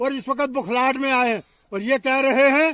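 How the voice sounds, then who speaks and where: A man speaks at a fairly slow pace with an extremely high pitch and a bright, sharp tone, the sound dry with no echo. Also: quiet background. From Jammu and Kashmir. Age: 70s. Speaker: election candidate. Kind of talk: political appeal.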